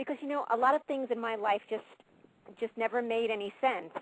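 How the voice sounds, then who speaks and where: A woman speaks at a fairly high pitch with a New York accent and ordinary pitch variation. The sound is dry and close, with no echo. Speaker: caller. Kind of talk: call-in testimony.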